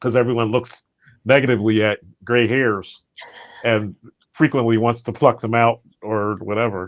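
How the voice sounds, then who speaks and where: The speech moves at a moderate pace with long, frequent pauses. Its intonation is monotone and flat. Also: man, medium pitch for a man. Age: 60s. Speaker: session participant. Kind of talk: casual chat. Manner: halting.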